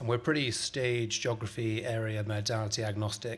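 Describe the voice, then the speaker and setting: With a British accent, a man speaks in a fairly low, somewhat breathy voice and monotone, flat intonation. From UK. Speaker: venture capitalist, physician. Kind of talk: panel discussion.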